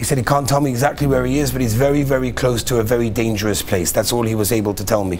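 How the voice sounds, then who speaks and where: A man talking very fast with ordinary pitch variation, over light background noise. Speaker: religious teacher. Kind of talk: lecture. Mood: earnest, concerned.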